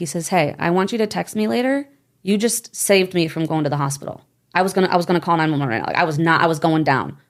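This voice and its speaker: A woman with a fairly low voice speaks very fast, her intonation lively and her tone animated, on a very clean recording with a silent background. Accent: American. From Michigan, US. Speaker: network marketer. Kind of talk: interview.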